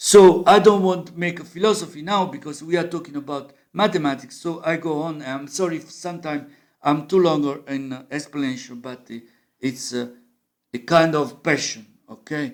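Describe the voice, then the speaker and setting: A man with an Italian accent talks at a moderate pace in a fairly high voice with ordinary pitch variation. His loudness swings widely. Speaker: musician and amateur math explainer. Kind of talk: informal lecture. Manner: halting.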